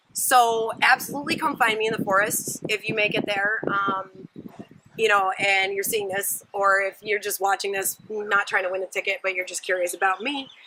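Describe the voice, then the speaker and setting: A woman's medium-pitched voice moves at a moderate pace while noticeable background noise plays behind it. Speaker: vlogger. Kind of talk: casual vlog. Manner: animated.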